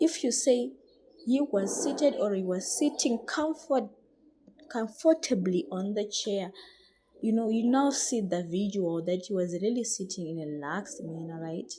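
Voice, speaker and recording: A woman speaks at a medium pitch and a moderate pace, with very wide pitch swings. Her tone is dark and mellow. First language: not English. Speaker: English teacher. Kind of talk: tutorial. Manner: halting.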